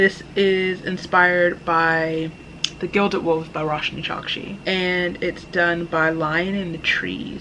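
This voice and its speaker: Noticeable noise sits behind the speaker. She is a woman with a fairly low pitch. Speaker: book vlogger. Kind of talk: casual unboxing vlog. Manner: casual, self-correcting with stumbles.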